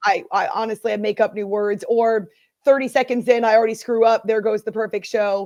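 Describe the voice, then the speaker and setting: Spoken at a fairly quick pace with fairly even intonation, the voice has an American accent and a dry, close sound with no echo. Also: woman. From US Northeast. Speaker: sports radio host. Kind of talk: casual interview chat. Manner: fast talker; takes pauses on air.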